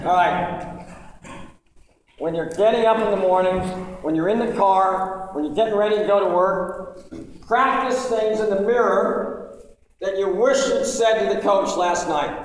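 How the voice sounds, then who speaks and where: Audible room echo surrounds a voice moving at a fairly slow pace. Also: man, high pitch for a man, ordinary pitch variation. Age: 60s. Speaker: former referee, officiating director. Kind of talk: speech to referees. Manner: animated.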